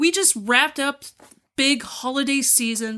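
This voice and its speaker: A woman's raised, projected voice, high in pitch and bright and sharp in tone, with ordinary pitch variation on a very clean recording with a silent background. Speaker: podcast co-host. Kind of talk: casual chat.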